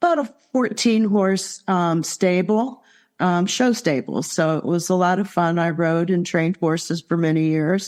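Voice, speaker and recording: A woman with a US Midwestern accent talks fairly slowly at a medium pitch. Her intonation is fairly even, and the background is quiet. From Ohio, US Midwest. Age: 60s. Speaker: near-death experience survivor, retired landscaper. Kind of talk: interview testimony.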